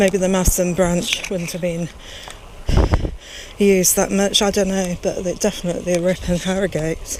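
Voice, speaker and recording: A woman speaks at a medium pitch in a monotone, flat intonation, with long, frequent pauses. Noticeable background noise runs under her voice. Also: moderate pace. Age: 60s. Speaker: cycling vlogger. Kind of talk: casual vlog narration while cycling. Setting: outdoors on a bike ride.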